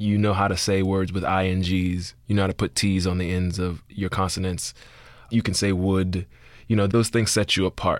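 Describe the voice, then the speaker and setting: A man's very deep, low voice with an American accent, monotone and flat, at a moderate pace and very even loudness, on a very clean recording with a silent background. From US South, Miami (Liberty City). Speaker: playwright and screenwriter. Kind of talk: interview conversation.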